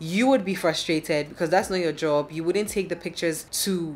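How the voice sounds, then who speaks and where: In a normal speaking voice, a woman with a fairly low pitch talks at a fairly quick pace, her pitch varying in an ordinary way. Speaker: vlogger. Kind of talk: casual vlog chat. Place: home room. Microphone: phone near.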